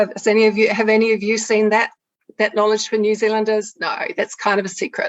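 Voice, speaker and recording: A woman's fairly high, monotone, flat voice at a very fast pace. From England. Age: 60s. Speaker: naturopath and health activist. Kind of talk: public talk.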